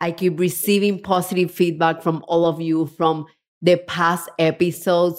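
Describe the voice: A woman speaks with a Spanish accent and an enthusiastic tone. Her pitch sits fairly low.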